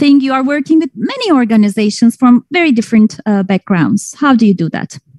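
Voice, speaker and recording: A normal speaking voice from a woman, fairly high and fairly quick, with lively intonation and a dry, close sound without echo. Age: 40s. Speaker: panel moderator. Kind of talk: panel discussion.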